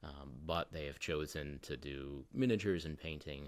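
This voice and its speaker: A man speaks with a very deep, low pitch and vocal fry. His tone is calm, with ordinary pitch variation. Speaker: miniature painting youtuber. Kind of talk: casual interview chat. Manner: calm and mellow; some fillers and repeats.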